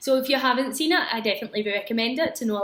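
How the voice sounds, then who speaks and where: A woman with a Glaswegian accent, high-pitched and very fast, amid noticeable background noise. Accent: Glaswegian Scottish. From Scotland, Glasgow area. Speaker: English teacher. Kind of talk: casual talk to students about films. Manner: hesitant, frequent 'um' fillers.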